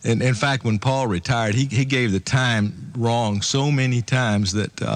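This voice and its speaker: A plain, everyday voice with ordinary pitch variation, moving at a moderate pace. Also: man. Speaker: radio engineer. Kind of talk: radio interview answer.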